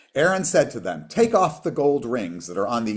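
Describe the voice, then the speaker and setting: A man talks at a fairly quick clip with very wide swings in pitch, on a very clean recording with a silent background. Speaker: rabbi. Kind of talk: lecture. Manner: fast.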